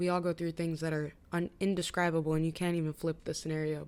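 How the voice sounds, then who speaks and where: Speaking at a very fast pace, a woman has a fairly low pitch and ordinary pitch variation. The recording is very clean, with a silent background. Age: 20s. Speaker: vlogger. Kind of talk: casual chat. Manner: animated.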